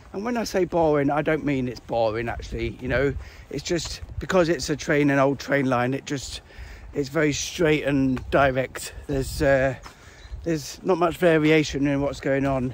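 At a moderate pace, a man speaks with ordinary pitch variation in a dry sound with no echo and light background noise. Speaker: hiker vlogger. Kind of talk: casual vlog chat. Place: open country. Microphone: phone near.

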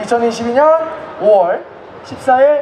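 Light background noise sits behind a woman speaking in an animated, playful tone. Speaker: event emcee. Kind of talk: live event hosting. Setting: outdoor stage with audience. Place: stage. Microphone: handheld.

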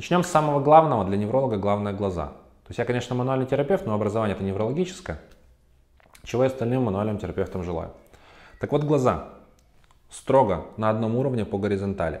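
Over a quiet background, a man speaks at a very fast pace. His intonation is lively. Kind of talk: educational talk to camera. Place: office. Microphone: lapel.

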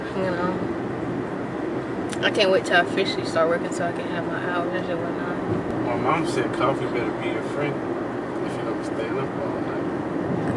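Through loud background noise, a woman speaks at a moderate pace with long, frequent pauses, the sound dry with no echo. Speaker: vlogger passenger. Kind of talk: casual vlog chat. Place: car. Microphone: phone near.

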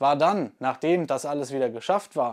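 The background is quiet. Over it, a man talks at a fairly quick pace. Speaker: crossbow channel host. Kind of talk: casual vlog chat. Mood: relaxed, sometimes laughing. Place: home room. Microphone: lapel.

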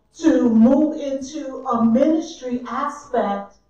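A woman speaks in a high voice with ordinary pitch variation. Audible room echo surrounds her. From US South. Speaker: church minister. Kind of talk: sermon. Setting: church. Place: church. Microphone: camera far.

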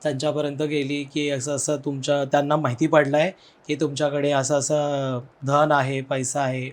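A man speaks at a fairly high pitch. His intonation stays monotone and flat. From Kamareddy, Telangana, India. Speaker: storyteller sharing personal ghost stories. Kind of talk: storytelling in podcast interview. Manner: halting.

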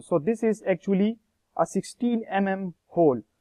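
A man's high-pitched voice with ordinary pitch variation, over a quiet background. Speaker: lab demonstrator. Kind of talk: tutorial. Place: classroom.

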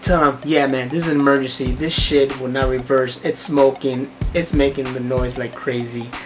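Flat, monotone delivery from a man at a moderate pace, with clear music in the background. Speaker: vlogger. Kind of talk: casual vlog chat, storytelling rant. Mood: annoyed, exasperated. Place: home room. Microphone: phone near.

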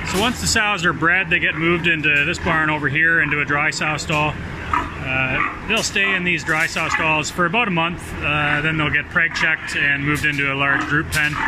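A moderate pace over loud background noise. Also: hardly any pauses. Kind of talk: tour guide explanation. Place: farm machine. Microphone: phone near.

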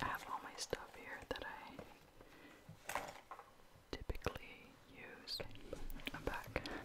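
A man whispering at a very slow pace with long, frequent pauses, over noticeable background noise. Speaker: ASMR creator. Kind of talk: casual talk to camera, get ready with me chit chat. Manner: soft-spoken, whispery.

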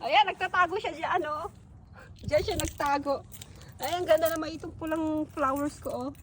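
A woman's extremely high-pitched voice at a moderate pace, ordinary pitch variation, noticeable background noise. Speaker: vlogger. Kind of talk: casual vlog. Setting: outdoors. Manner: animated.

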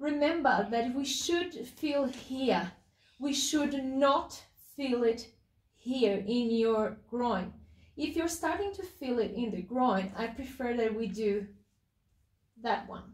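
A woman with a non-native accent speaks at a very slow pace in a high pitch with lively intonation. The background is quiet, with audible room echo. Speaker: pelvic health physiotherapist, clinic director. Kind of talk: exercise instruction to camera. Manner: excited, enthusiastic. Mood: calm, encouraging. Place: home room. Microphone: camera far.

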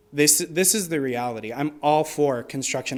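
A man with an American accent and a plain, everyday voice, fairly high in pitch, at a moderate pace. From Arizona. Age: 20s. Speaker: public commenter, college student and bakery worker. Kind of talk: public comment. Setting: city commission meeting.

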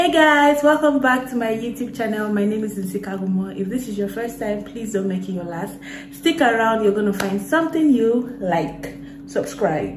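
A woman is heard over light background noise with audible room echo. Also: moderate pace. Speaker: lifestyle vlogger. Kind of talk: casual vlog chat. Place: home room. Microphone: phone near.

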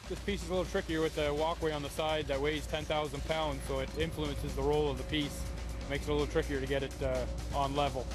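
A man talks very fast while clear music plays in the background. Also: dry sound with no echo. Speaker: on-site host. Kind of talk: documentary explanation.

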